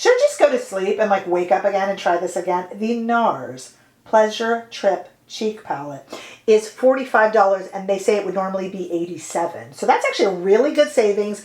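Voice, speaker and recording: A woman with an unremarkable speaking voice talks at a fairly quick pace, her medium pitch carried by lively intonation. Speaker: beauty youtuber. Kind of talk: product review.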